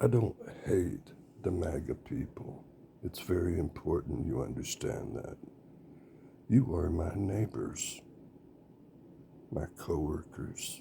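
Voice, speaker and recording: A man with a Southern US accent speaks very slowly at a very deep, low pitch, with vocal fry and a dark, mellow tone. His pitch swings very widely, and long, frequent pauses break up his speech. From US South, rural. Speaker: political candidate. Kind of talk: campaign speech. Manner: halting, with fillers.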